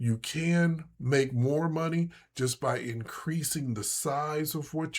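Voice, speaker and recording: On a very clean recording with a silent background, a man with a fairly high, somewhat breathy voice speaks at a very slow pace with ordinary pitch variation. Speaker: day trading instructor. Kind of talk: tutorial. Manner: casual, with many fillers.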